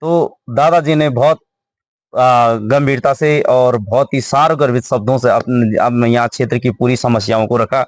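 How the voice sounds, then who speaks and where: Using an ordinary speaking voice, a man speaks at a medium pitch with fairly even intonation. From Uttarakhand, Garhwal. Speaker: local video interviewer. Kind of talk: village interview.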